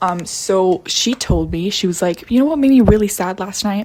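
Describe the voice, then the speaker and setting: Quiet, with noticeable background noise, a woman speaks at a moderate pace using lively intonation. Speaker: vlogger. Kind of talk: casual rant to camera. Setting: at home. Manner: speaking quietly.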